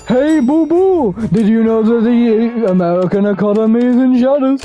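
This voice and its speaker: Someone uses a put-on character voice at a fairly high pitch and a moderate pace. Clear background noise can be heard. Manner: rambling, chatty.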